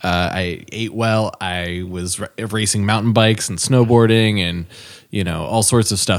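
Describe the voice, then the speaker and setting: This very clean recording with a silent background features a man with an unremarkable speaking voice. His pitch is fairly low and his pace moderate. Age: 30s. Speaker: podcast co-host, business owner and former musician. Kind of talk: casual chat.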